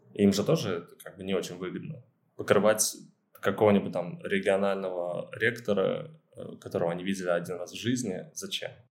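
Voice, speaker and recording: A man's fairly low voice at a fairly quick pace with lively intonation. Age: 20s. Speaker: student media editor-in-chief. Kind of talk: interview. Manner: halting, many fillers.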